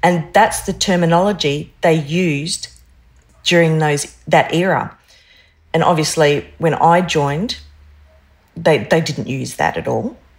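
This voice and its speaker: A woman with an Australian accent, fairly low-pitched and with vocal fry, ordinary pitch variation, a fairly slow pace, and long, frequent pauses. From Queensland, Australia (North Stradbroke Island). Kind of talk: interview.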